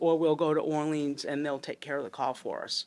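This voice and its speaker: A woman speaks in a very deep, low pitch. Her intonation stays fairly even. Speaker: fire chief. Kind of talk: public meeting testimony. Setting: town finance committee meeting. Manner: loud.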